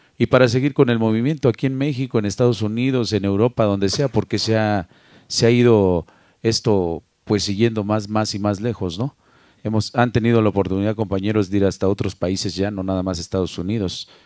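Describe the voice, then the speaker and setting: A man's fairly low voice, dark and mellow, at a fairly quick pace with ordinary pitch variation, dry with no echo over a quiet background. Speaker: sound system DJ. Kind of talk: casual interview. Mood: reflective, calm. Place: home room. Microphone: handheld.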